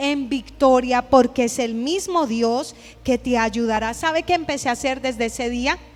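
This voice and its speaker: Against music in the background, a woman with a high pitch sounds animated, using ordinary pitch variation. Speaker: pastor. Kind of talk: sermon. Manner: fast.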